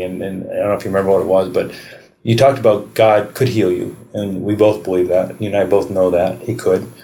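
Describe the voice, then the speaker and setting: A man talks at a very fast pace in a fairly low pitch, his tone dark and mellow, with audible room echo around him. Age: 40s. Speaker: podcast host. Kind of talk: casual chat. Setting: public library.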